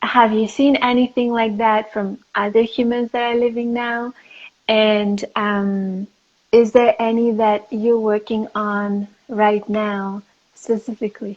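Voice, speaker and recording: A woman with a French accent speaks very slowly in a fairly high, flat, monotone voice. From France and Greece. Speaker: interviewer, spiritual content creator. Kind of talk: live-stream interview. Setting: Instagram live video call. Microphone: phone speaker, old phone.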